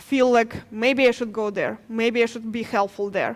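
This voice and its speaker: With a Ukrainian accent, a woman speaks at a fairly high pitch in a monotone, flat intonation. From Ukraine. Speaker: nurse. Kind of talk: testimony. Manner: halting.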